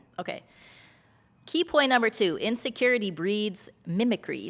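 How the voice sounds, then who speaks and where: With lively intonation, a woman delivers her words at a moderate pace. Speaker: podcast co-host. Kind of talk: casual chat.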